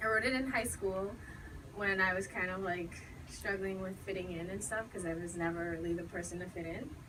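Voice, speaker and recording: With noticeable noise behind her, a woman at medium pitch talks at a moderate speed, her pitch varying in an ordinary way. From Bahamas. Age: young. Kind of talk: casual introduction to audience.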